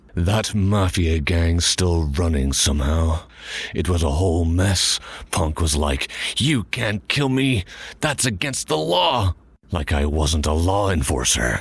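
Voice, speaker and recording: Putting on a character voice, a man speaks in a very deep, low pitch at a fairly slow pace with lively intonation and very even loudness. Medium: audio drama. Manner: blunt, sardonic.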